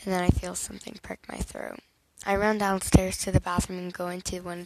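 Straightforward, plain reading aloud

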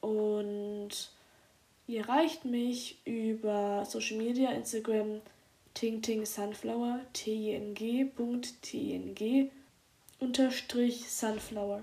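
Here a woman speaks at a very slow pace. Her fairly high voice keeps a fairly even intonation. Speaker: poet and podcaster. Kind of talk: spoken word poetry, a heartfelt intimate love letter addressed to a lover. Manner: earnest and tender, with reflective pauses and warm emphasis.

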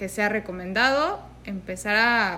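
The woman's tone is bright and sharp. Her pitch moves with ordinary variation. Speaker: podcast co-host. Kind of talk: casual chat.

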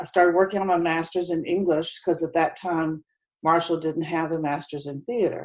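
Fairly quick, monotone, flat speech from a woman with an American accent and a fairly low pitch. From West Virginia, Huntington. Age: 60s. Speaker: retired theater teacher. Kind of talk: interview.

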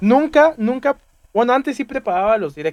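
Delivered at a moderate pace in a Mexican accent, the voice swings very widely in pitch, and the sound is dry and close with no echo. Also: man. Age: 20s. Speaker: streamer and student. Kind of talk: casual chat.

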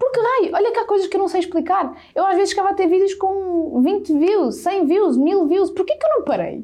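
With an extremely high pitch and lively intonation, a woman talks at a fairly quick pace with hardly any pauses. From central Portugal (Sátão, near Viseu). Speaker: digital content creator. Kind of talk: casual interview.

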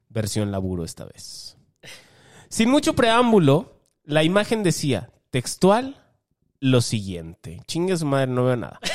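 In a Mexican accent, a man speaks at a fairly slow pace. His fairly high voice moves through very wide pitch swings. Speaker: podcast co-host and musician. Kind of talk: casual comedic chat.

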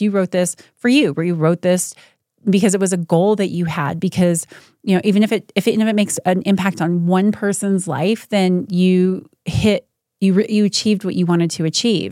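Over a silent background on a very clean recording, a woman with a normal speaking voice talks at a fairly quick pace and medium pitch, with ordinary pitch variation. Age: 40s. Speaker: CEO and author. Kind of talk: casual chat.

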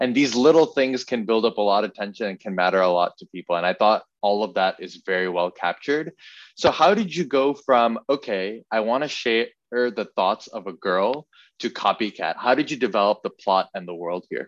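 Set against a quiet background, an ordinary speaking voice moves at a moderate pace with lively intonation, the sound dry and close with no echo. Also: man, medium pitch for a man. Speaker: podcast interviewer. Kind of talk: casual interview chat.

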